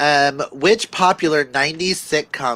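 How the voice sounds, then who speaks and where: The man's voice sits at a fairly high pitch and has a bright, sharp tone. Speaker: livestream co-host reading chat questions. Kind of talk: casual livestream chat.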